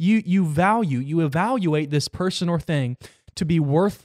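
Speaking at a fairly slow pace, a man has an animated tone and ordinary pitch variation. The sound is dry and close, with no echo. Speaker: Bible podcast host. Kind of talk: Bible teaching. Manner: halting.

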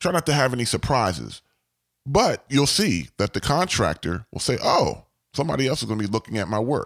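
Speaking at a fairly quick pace, a man with medium pitch and vocal fry makes very wide pitch swings, the sound dry and close with no echo on a very clean recording with a silent background. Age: 40s. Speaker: podcast host, construction project manager. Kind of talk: solo podcast advice monologue. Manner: animated, repetitive emphatic phrasing.

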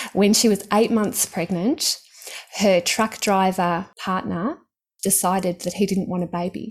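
Speaking at a moderate pace with an Australian accent, a woman uses a medium pitch and ordinary pitch variation. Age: 50s. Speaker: stock trading author and mentor. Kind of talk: casual interview chat. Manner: animated.

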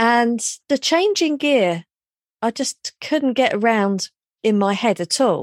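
In a southern English accent, a woman speaks at a very slow pace, her fairly high voice moving in very wide pitch swings. The recording is very clean, with a silent background and a dry, close sound with no echo. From London, England. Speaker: hypnotherapist. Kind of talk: interview.

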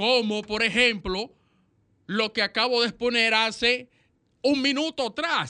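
The speech moves at a fairly slow pace with long, frequent pauses. The background is quiet. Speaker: radio co-host. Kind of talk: radio magazine chat and commentary.

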